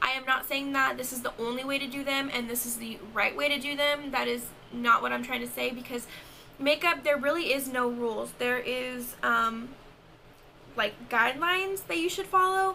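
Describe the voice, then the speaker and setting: A woman's high-pitched voice is raised and projected. She keeps a moderate pace. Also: ordinary pitch variation. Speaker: makeup artist and beauty vlogger. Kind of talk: tutorial. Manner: casual, chatty.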